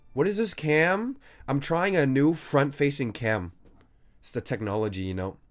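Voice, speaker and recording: Here a man speaks with a fairly high voice. The recording is very clean, with a silent background. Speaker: game streamer. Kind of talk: casual live stream commentary. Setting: live stream with webcam. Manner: loud, projecting voice; animated.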